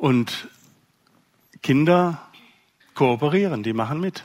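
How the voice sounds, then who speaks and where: This man talks at a very slow pace. His pitch varies in an ordinary way. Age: 60s. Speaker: parenting speaker. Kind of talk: lecture.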